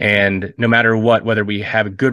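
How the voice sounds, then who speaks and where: A man speaks at a medium pitch with an American accent and a bright, sharp tone. The background is quiet. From US Midwest (Ohio). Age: 30s. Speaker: pastor, missionary and war veteran. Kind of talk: interview, personal testimony. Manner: halting, many fillers and repeats.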